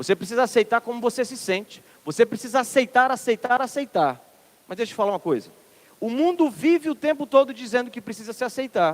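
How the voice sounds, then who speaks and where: A man with a Ceará accent talks at a very fast pace in an extremely high pitch with lively intonation. The sound is dry and close with no echo. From Ceará, northeastern Brazil. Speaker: minister, preacher. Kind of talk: sermon.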